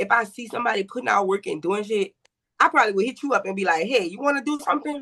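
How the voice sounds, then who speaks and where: A woman's confident tone at a very fast pace, with lively intonation. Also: fairly high pitch for a woman. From New York. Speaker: rapper. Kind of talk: casual podcast interview. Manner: confident, loud.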